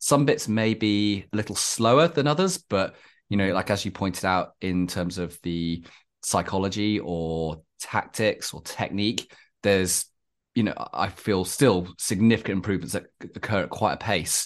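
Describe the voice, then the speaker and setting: A man speaks with a British accent at a fairly low pitch. The background is quiet. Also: ordinary pitch variation, moderate pace. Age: 40s. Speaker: podcast host and climbing coach. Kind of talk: casual interview.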